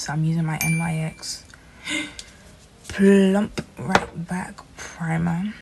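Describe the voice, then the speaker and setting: Soft-spoken and fairly low in pitch, a woman talks at a very slow pace with fairly even intonation, long, frequent pauses and big swings in loudness, over noticeable background noise. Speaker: beauty youtuber. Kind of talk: makeup tutorial vlog. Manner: quiet, soft-spoken; casual, chatty.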